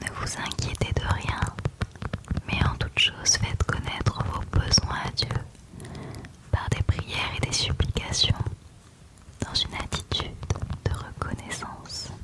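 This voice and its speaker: The speaker whispers at a very slow pace, with long, frequent pauses. Background noise is noticeable. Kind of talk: ASMR Bible verse reading. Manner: whispered; soft-spoken, slow.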